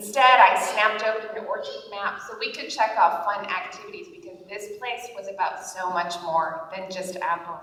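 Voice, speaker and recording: Over noticeable background noise, the talk flows at a moderate pace with hardly any pauses, big swings in loudness and ordinary pitch variation. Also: woman, medium pitch for a woman. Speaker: author. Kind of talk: humor blog reading to live audience. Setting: conference stage.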